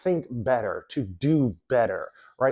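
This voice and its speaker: A man with an American accent talks in a normal speaking voice with ordinary pitch variation against a quiet background. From New York City. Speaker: self-improvement coach. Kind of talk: motivational talk.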